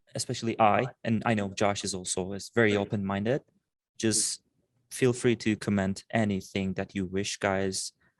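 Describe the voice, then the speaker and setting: In a Turkish accent, a man speaks at a moderate pace and fairly low pitch with monotone, flat intonation, in a dry, close sound with no echo on a very clean recording with a silent background. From Turkey, Istanbul. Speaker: animation student and podcast co-host. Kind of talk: casual chat.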